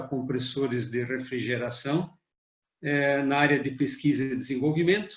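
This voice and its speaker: A man speaks at a moderate pace with a fairly high pitch, a somewhat breathy quality, fairly even intonation and audible room echo. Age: 60s. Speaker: management consultant, retired engineer. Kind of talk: webinar presentation.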